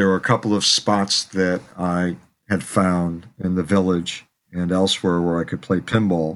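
A man with an American accent talks at a moderate pace in a very deep, low voice. His delivery is monotone and flat, and the recording is very clean with a silent background. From Chicago, South Side. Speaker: pinball pioneer and author. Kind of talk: interview storytelling.

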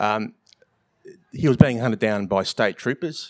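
A man with an Australian accent, medium pitch and moderate pace, in a dry, close sound with no echo. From Victoria, Australia. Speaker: writer. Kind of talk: live festival panel discussion. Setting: stage with live audience. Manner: halting, many fillers.

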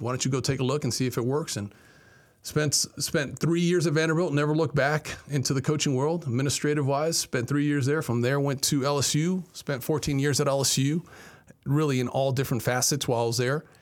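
An ordinary speaking voice from a man, fairly high in pitch and fairly even in intonation, at a fairly quick pace over a very clean recording with a silent background. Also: very even loudness. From Miami, Florida (Cuban-American family). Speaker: university athletic director. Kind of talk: interview. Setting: studio.

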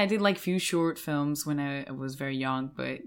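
In a Spanish accent, a woman talks at a fairly slow pace with a very deep, low pitch and fairly even intonation, on a very clean recording with a silent background. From Mallorca, Spain. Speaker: actress. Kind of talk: casual interview conversation.

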